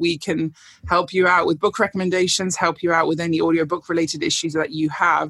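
A woman speaks with a British accent at a moderate pace. Her pitch is fairly low and her intonation fairly even. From United Kingdom. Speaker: guest book recommender. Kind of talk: casual chat.

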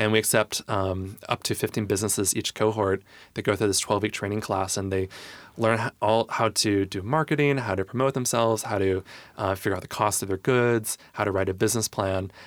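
A man with an American accent speaks at a fairly quick pace in an ordinary speaking voice, with fairly even intonation, on a very clean recording with a silent background. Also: fairly low pitch for a man. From US Midwest, Michigan. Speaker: arts nonprofit director. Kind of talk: casual interview.

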